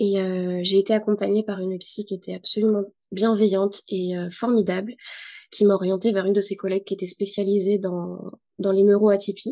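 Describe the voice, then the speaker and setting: Against a quiet background, a woman with a medium pitch and a dark, mellow tone speaks at a moderate pace in a monotone, flat delivery. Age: 30s. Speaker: psychomotor therapist and yoga therapist. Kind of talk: testimony interview.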